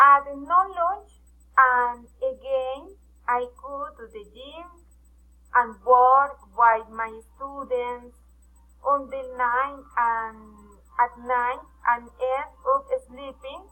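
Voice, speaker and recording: A woman's raised, projected voice, high-pitched with a bright, sharp tone, moves at a very slow pace with long, frequent pauses and big swings in loudness. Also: fairly even intonation. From Colombia, Pasto, Nariño. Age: 20s. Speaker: personal trainer. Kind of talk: self-introduction in a foreign language. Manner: halting, hesitant.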